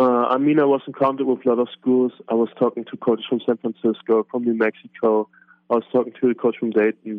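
A man talks at a very fast pace with a German accent. His intonation is monotone and flat. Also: medium pitch for a man. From Germany. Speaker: college basketball player.

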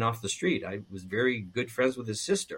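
In a very clean recording with a silent background, a man with an American accent speaks at a medium pitch and a moderate pace. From Los Angeles, California. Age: 60s. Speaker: cancer survivor. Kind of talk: testimony. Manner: halting.

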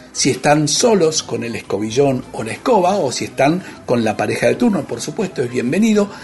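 Music plays behind a man whose pitch swings very widely. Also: fairly high pitch for a man, fairly quick pace. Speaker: radio host and guitarist. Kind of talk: radio show presenting.

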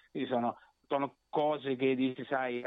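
Intonation stays monotone and flat at a moderate pace. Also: man. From Italy, Marche (Macerata). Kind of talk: interview. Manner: halting.

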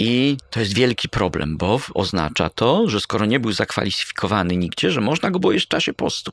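With an unremarkable speaking voice, a man speaks at a fairly quick pace and fairly low pitch, using lively intonation, very even loudness and hardly any pauses, in a dry, close sound with no echo. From Poland, Bydgoszcz area (Kuyavia-Pomerania). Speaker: history professor. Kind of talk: interview. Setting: in a university culinary heritage centre.

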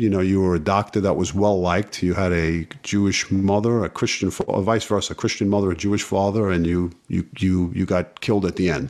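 A plain, everyday voice of a man, fairly low in pitch and fairly quick in pace. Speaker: Akashic records reader and healing guide. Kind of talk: casual interview conversation.

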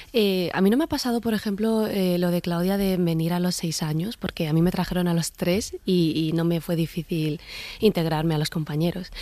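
A woman's dark, mellow voice at fairly low pitch, with ordinary pitch variation and a moderate pace. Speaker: actress. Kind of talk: interview.

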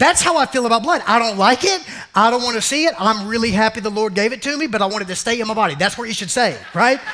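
Over noticeable background noise, a man with an extremely high pitch talks at a very fast pace in a raised, projected voice, his tone animated and his intonation lively. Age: 40s. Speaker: pastor. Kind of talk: sermon.

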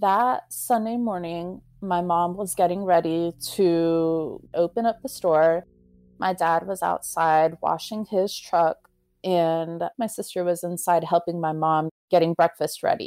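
A plain, everyday voice with an American accent talks at a fairly slow pace. Its intonation stays fairly even. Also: woman, fairly low pitch for a woman. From Mexico, raised in the US. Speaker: storyteller sharing personal experience. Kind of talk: personal testimony.

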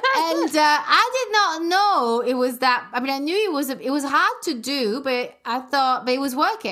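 Raised and projected, a woman's high-pitched voice has a bright, sharp tone and very wide pitch swings, moving at a moderate pace with hardly any pauses. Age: 40s. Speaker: podcast host. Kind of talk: interview conversation.

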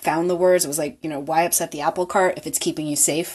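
Against a quiet background, a woman with a fairly low pitch speaks in a normal speaking voice with ordinary pitch variation. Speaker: guest co-host, longtime listener. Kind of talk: casual chat.

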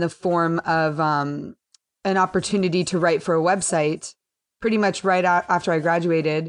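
A woman speaks in an ordinary speaking voice, fairly low in pitch, at a moderate pace with fairly even intonation. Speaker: sports writer. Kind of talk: casual interview chat.

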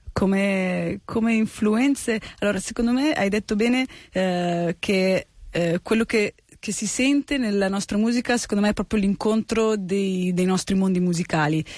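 Over a quiet background, a somewhat breathy woman speaks at a moderate pace and medium pitch with ordinary pitch variation and very even loudness, the sound dry and close with no echo. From Italy, born in the US. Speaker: musician and songwriter. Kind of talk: radio interview. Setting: radio studio.

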